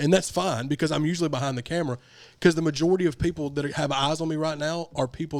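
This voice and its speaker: A man with a Southern US accent speaks at a very fast pace in a fairly high pitch. The recording is very clean, with a silent background. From US South. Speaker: podcast host and rapper. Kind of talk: casual chat. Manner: animated.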